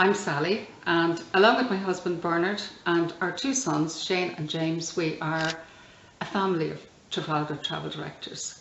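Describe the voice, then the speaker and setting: A woman with an Irish accent and a fairly low pitch speaks at a moderate pace amid audible room echo. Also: ordinary pitch variation. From Ireland. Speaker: tour guide. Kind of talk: scripted promotional video.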